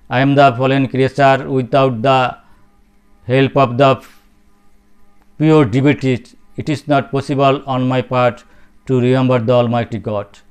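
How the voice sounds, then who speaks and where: Over music in the background, the voice moves at a moderate pace with long, frequent pauses and a monotone, flat intonation. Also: man, medium pitch for a man. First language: Bengali. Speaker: spiritual speaker. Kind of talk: religious talk. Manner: halting.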